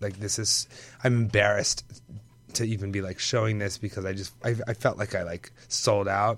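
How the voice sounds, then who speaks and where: A man speaks in a husky, fairly low voice with monotone, flat intonation over music in the background. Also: moderate pace. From Puerto Rican and Dominican heritage. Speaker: fashion designer. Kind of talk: casual chat. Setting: studio.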